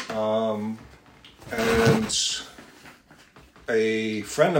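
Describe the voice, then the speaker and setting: The man's voice sits at a medium pitch. Noticeable background noise and audible room echo come through the recording. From Newfoundland. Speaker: helicopter rescue pilot. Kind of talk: casual interview chat.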